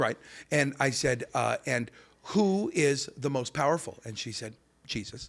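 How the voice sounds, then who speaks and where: A man with a normal speaking voice, fairly high pitch, lively intonation, and a fairly slow pace. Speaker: comedian and voice actor. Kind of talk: podcast interview answers, comedic banter.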